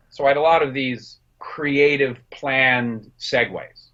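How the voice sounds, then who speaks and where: This man talks with a New Jersey accent. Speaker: film director and production designer. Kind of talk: interview.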